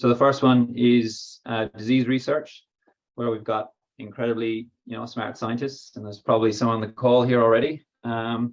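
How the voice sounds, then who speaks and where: With an Irish accent, a man speaks in a flat monotone at a moderate pace and a medium pitch. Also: big swings in loudness. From Ireland. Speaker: biotech company co-founder and technical lead. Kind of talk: workshop presentation. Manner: hesitant, many fillers.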